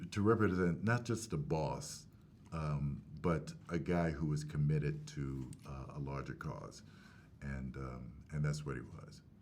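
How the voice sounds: A man speaks at a slow pace in an extremely low pitch, his tone slightly mellow and his pitch variation ordinary.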